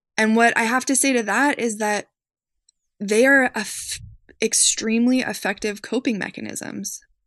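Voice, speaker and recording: A woman's unremarkable speaking voice, fairly high in pitch, at a moderate pace with fairly even intonation against a quiet background. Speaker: social worker. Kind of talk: interview.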